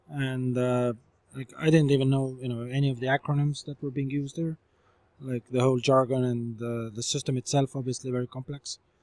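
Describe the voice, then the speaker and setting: This man has an Estonian accent and a medium pitch, speaking at a fairly quick pace. His intonation is monotone and flat, and the sound is dry and close with no echo. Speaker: startup founder and CEO. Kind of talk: interview. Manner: hesitant, many fillers.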